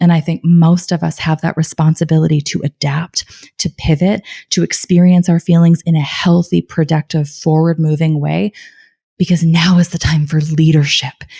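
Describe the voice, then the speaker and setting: At a moderate pace, a woman speaks in a fairly low pitch with a dark, mellow, somewhat breathy tone, monotone, flat intonation and a dry, close sound with no echo. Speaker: life coach and cancer survivor. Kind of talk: podcast interview. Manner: calm.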